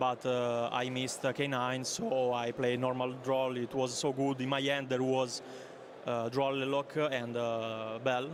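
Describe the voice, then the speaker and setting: A man speaks with an Italian accent at a medium pitch and a fairly slow pace. His intonation is monotone and flat, and his loudness stays very even. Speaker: card game tournament player. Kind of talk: interview. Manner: halting, many fillers.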